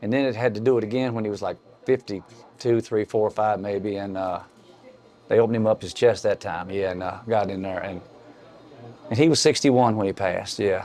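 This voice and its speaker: An Appalachian accent at a fairly quick pace, with fairly even intonation. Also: man, fairly low pitch for a man. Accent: Appalachian US Southern. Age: 60s. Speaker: local rock musician. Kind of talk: casual chat.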